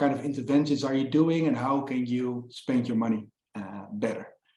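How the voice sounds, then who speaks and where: A man at a fairly quick pace, with audible echo from the room. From Netherlands. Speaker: fundraising consultant. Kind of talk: webinar presentation. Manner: hesitant with many fillers.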